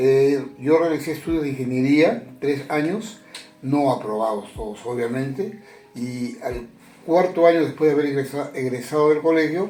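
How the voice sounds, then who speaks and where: Through noticeable background noise and audible room echo, a man with a fairly high voice talks at a moderate pace with ordinary pitch variation. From Peru, Chiclayo. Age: 70s. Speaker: retired journalist. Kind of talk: interview. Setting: at home.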